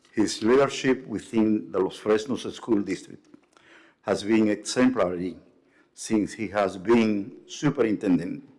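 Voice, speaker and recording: The speaker talks at a fairly slow pace with an ordinary amount of pitch variation. The voice is in a Spanish accent. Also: man, fairly low pitch for a man. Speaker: pastor. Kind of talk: formal tribute speech. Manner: formal.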